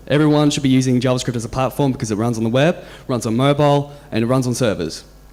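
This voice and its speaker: A man with an Australian accent talks at a very fast pace. His voice sits at medium pitch. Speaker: software engineer, conference speaker. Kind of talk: conference talk. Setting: stage with audience. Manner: halting, many repeated words and fillers.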